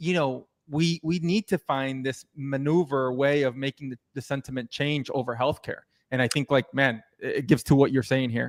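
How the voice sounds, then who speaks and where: In an unremarkable speaking voice, a man talks at a moderate pace and fairly high pitch with fairly even intonation and hardly any pauses, the sound dry and close with no echo. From United States. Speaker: podcast host. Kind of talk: interview. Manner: casual, many fillers.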